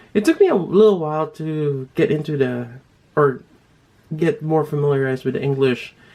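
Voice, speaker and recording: A man with a Filipino accent speaks at a moderate pace in a dark, mellow tone, his fairly high pitch showing ordinary variation. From Philippines. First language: Tagalog. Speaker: toy reviewer. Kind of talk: casual vlog talk. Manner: halting, many fillers.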